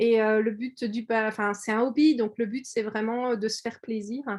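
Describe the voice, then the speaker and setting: The talking unfolds fairly slowly, with little sound behind it. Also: woman. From France, Orléans area. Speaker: quilting artist and shop owner. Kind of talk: video call presentation. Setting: video call. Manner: hesitant, many fillers.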